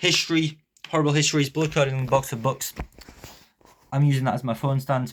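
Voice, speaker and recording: A somewhat breathy man's voice, fairly high in pitch, very fast, with fairly even intonation and long, frequent pauses. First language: Polish. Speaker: YouTuber, self-improvement. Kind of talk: vlog monologue to camera. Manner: unscripted, some hesitations.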